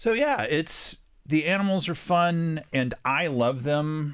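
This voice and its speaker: A man talks with a slight West Texas accent. The recording is very clean, with a silent background. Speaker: children's book author. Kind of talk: interview.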